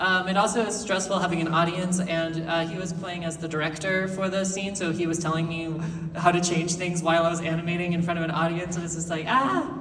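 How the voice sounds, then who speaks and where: Very fast speech with hardly any pauses and monotone, flat intonation comes through noticeable background noise and audible room echo. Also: woman, fairly low pitch for a woman. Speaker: animator. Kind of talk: convention panel talk. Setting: stage with audience. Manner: expressive, not monotone.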